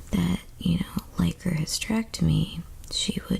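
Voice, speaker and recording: Soft-spoken delivery at a moderate pace, with noticeable background noise. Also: woman. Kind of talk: ASMR storytime.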